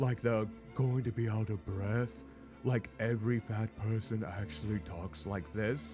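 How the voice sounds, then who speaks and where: A man uses a put-on character voice at a fairly low pitch and a moderate pace. Clear music plays in the background. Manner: breathy, exaggerated.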